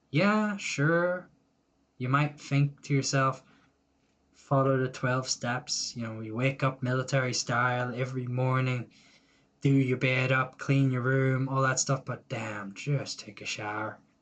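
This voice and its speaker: A man with an Irish accent talks at a fairly slow pace. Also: medium pitch for a man, ordinary pitch variation. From Ireland. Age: 20s. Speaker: YouTuber. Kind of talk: personal vlog monologue. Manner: casual, rambling.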